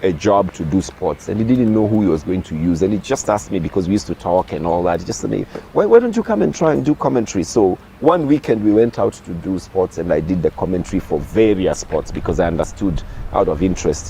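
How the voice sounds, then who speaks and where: Very fast speech with lively intonation over noticeable background noise. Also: man, very deep, low pitch for a man. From Kenya, Nairobi. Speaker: sports broadcaster and lecturer. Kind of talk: interview. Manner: repetitive stammering restarts.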